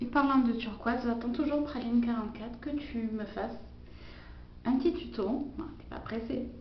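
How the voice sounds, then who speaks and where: Speaking at a high pitch, a woman keeps her intonation fairly even. Audible room echo and noticeable background noise surround her voice. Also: moderate pace. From Quebec. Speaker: beauty vlogger. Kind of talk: makeup tutorial. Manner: casual, hesitant with fillers.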